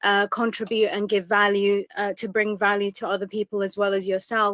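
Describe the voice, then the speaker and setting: Monotone and flat in intonation, a woman speaks at a fairly quick pace and medium pitch. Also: dry, close sound with no echo. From East Africa, moved to UK at seven. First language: Tigrinya. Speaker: interviewer. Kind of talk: interview. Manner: halting.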